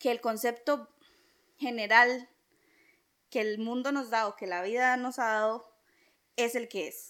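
A high-pitched woman's voice with a Costa Rican accent in a very clean recording with a silent background. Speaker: podcast co-host. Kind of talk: casual chat.

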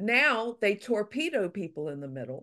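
Over a quiet background, a woman speaks at a fairly slow pace with very wide pitch swings. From Louisiana. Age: 60s. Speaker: author. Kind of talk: interview conversation.

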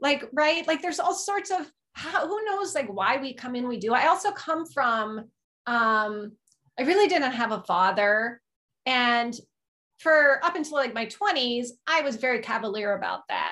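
A woman with a high pitch and a bright, sharp tone projects a raised voice at a fairly slow pace, her pitch swinging very widely. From small rural town. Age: 50s. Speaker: life coach. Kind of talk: casual chat.

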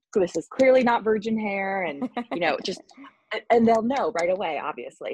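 An American-accented woman with an unremarkable speaking voice talks at a moderate pace with lively intonation, the sound dry and close with no echo. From US Northeast, Long Island. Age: 20s. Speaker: salon client, film production worker. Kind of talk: casual interview.

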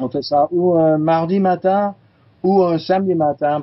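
A man speaks with ordinary pitch variation. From California, US. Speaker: chiropractor and teacher. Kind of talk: interview. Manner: halting, many fillers.

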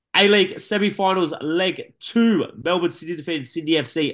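A man with an Australian accent at a moderate pace, quiet background. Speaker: sports podcast host. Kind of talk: sports news roundup; casual chat.

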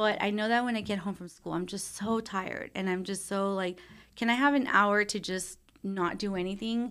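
An unremarkable speaking voice from a woman with an American accent, medium pitch and ordinary pitch variation, in a very clean recording with a silent background. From Texas, Brownsville. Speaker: marriage and family therapist. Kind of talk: interview.

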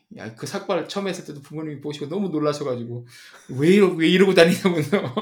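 A man talks very fast at a fairly high pitch with ordinary pitch variation and big swings in loudness, over noticeable background noise. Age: 40s. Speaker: podcast co-host, tech industry. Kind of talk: casual chat.

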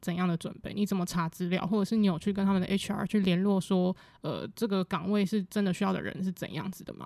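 A woman talks at a fairly quick pace in a medium pitch. Her tone is dark and mellow, and her intonation stays fairly even. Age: 20s. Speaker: podcast host. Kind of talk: casual interview.

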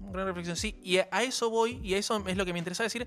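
A man's voice with music in the background. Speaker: radio host. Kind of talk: casual chat.

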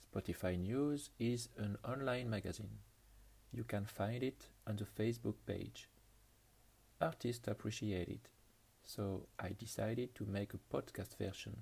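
With a French accent, a man talks at a fairly slow pace and fairly low pitch, his ordinary pitch variation colored by vocal fry. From France. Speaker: podcast host. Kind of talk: music show presentation.

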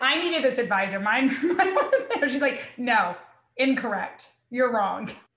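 A woman speaks very slowly with an American accent, her high voice carrying lively intonation at a very even loudness. Audible echo from the room surrounds her. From US South. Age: 30s. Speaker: criminology professor. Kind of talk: casual chat.

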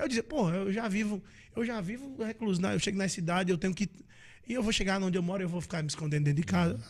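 A man talks at a very fast pace in a high pitch. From Northeast Brazil, interior. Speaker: forró singer. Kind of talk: casual interview chat.

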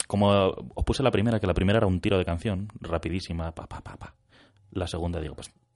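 A man talks at a fairly quick pace with a very deep, low pitch and ordinary pitch variation. His loudness swings a lot. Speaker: radio co-host. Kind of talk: casual chat. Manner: late-night radio style.

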